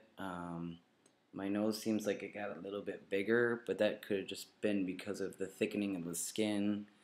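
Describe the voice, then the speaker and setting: A man speaks in a flat, monotone voice. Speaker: video blogger. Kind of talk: vlog update. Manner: halting, many fillers.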